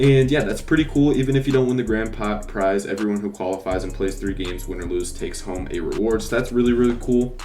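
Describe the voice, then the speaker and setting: A man talking at a very fast pace with hardly any pauses, music in the background and audible room echo. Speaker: gaming YouTuber. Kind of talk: video game news breakdown. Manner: hesitant, many fillers.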